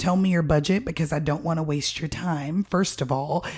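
In a very clean recording with a silent background, a woman with an American accent speaks at a moderate pace in a fairly low, somewhat breathy voice. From Miami, Florida. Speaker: floral and event designer, business owner. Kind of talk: casual interview chat.

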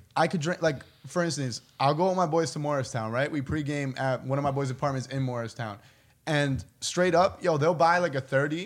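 He has an ordinary speaking voice with ordinary pitch variation. This man talks at a fairly quick pace with a fairly high pitch. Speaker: podcast host. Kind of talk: casual chat.

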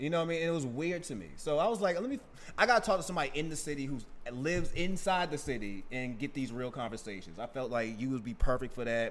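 A man with an American accent at a very fast pace, his pitch swinging very widely. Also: fairly high pitch for a man. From Boston, Mattapan. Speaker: podcast host. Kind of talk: casual interview.

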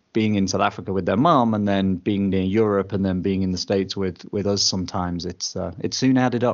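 A man with a fairly low voice and an English accent speaks at a fairly quick pace with fairly even intonation and hardly any pauses. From England. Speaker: podcast partner, traveling dad. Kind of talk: interview storytelling.

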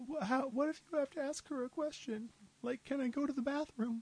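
Putting on a character voice, a man speaks at a moderate pace in an extremely high pitch with a nervous, timid tone. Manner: nervous, timid, naive.

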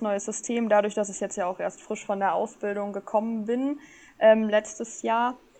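A woman talks at a moderate pace in a dark, mellow tone. Her pitch is fairly high and her intonation monotone and flat. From Germany, northern Hesse (Rotenburg). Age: 20s. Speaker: trained chef and food influencer. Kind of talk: casual interview. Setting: online voice channel.

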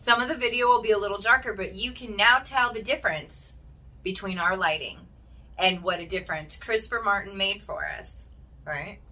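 Here a woman talks at a fairly quick pace with big swings in loudness. Her pitch is medium, with ordinary variation. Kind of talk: casual chat. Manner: animated.

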